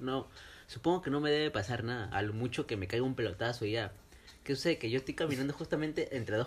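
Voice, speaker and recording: A man with a medium-pitched, somewhat breathy voice is speaking. He goes at a very fast pace. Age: 20s. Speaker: podcast host. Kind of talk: casual chat.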